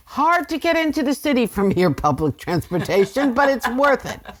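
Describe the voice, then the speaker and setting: With a New York accent, a woman speaks at a moderate pace in a high pitch that swings very widely. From New York, Rockland County. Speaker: voice teacher. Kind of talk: casual chat. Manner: animated.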